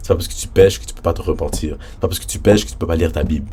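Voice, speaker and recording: Noticeable background noise sits behind a man whose animated tone comes with lively intonation. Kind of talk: casual religious vlog talk.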